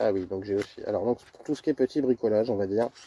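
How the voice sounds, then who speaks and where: Quiet and dark, mellow in tone, a man's voice comes through dry and close with no echo. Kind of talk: casual gear presentation to camera. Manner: monotone, quiet.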